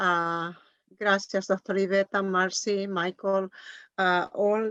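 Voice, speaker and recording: A woman speaks very slowly in an Andean accent. The sound is dry and close with no echo, over a quiet background. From Bolivia (Cochabamba). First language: Quechua. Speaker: Andean ritual leader and language teacher. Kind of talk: casual greeting and thanks. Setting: virtual event.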